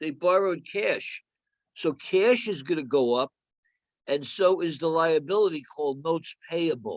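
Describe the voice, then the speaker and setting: The delivery moves at a moderate pace with ordinary pitch variation. The sound is dry and close, with no echo. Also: man, high pitch for a man. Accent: New Jersey. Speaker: accounting instructor. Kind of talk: lecture.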